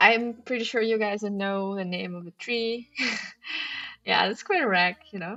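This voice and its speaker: A woman's fairly high voice at a fairly slow pace, with ordinary pitch variation and music in the background. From former Soviet Union. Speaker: crossword streamer. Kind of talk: live-stream commentary while solving. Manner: casual, hesitant with fillers.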